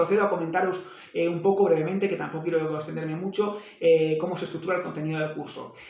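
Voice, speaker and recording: Delivered at a very fast pace in a flat monotone, the speech carries audible room echo and noticeable background noise. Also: man, high pitch for a man. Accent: Spanish. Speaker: language teacher. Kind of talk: tutorial.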